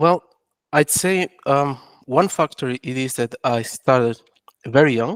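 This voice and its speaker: With a French accent, the speaker talks at a fairly slow pace in a dry, close sound with no echo. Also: man, fairly high pitch for a man, ordinary pitch variation. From Angola. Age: young. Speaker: entrepreneur. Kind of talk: interview. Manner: halting, many restarts.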